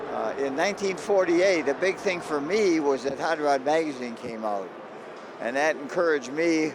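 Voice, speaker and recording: Noticeable background noise sits behind a speaker with an American accent. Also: man, fairly high pitch for a man, moderate pace. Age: 90s. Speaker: car show promoter. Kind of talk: interview.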